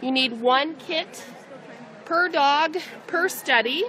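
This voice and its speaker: A woman uses a raised, projected voice. Light background noise can be heard. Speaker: vet tech demonstrator. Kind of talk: tutorial. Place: hall. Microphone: phone near.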